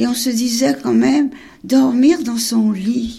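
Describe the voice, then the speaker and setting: The woman's tone is dark and mellow. She talks at a very slow pace. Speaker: Holocaust survivor. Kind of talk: testimony.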